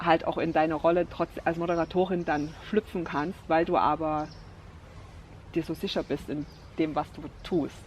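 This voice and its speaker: The speech has long, frequent pauses and a monotone, flat intonation. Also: woman. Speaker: vlogger. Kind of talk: casual vlog talk. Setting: outdoors by the water, rain starting.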